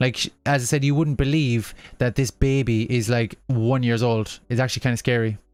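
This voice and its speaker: A man has a normal speaking voice at medium pitch, with fairly even intonation and very even loudness at a moderate pace. The recording is very clean, with a silent background. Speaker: gaming livestreamer. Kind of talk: casual livestream chat. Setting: home livestream, baby asleep.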